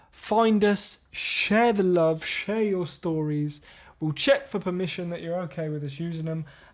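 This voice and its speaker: On a very clean recording with a silent background, a man with an English accent speaks at a fairly slow pace in a high pitch with ordinary pitch variation. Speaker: podcast co-host. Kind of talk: casual chat.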